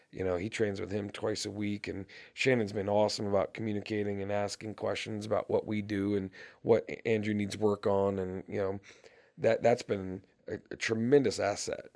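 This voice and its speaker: A man's fairly low, monotone voice with flat intonation, at a moderate pace. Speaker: high school football coach. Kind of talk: casual interview.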